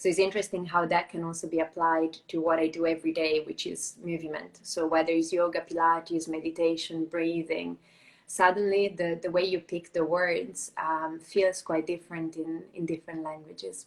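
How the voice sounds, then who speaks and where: A woman with an Italian accent talks at a moderate pace with hardly any pauses, her fairly low voice flat and monotone. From Italy. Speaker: Pilates and yoga teacher. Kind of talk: casual interview. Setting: live video stream.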